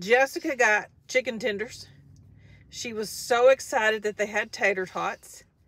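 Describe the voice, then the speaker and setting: A woman speaks at a fairly slow pace with ordinary pitch variation. The sound is dry, with no echo. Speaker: vlogger. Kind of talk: casual vlog chat. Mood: cheerful, upbeat. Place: car. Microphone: phone near.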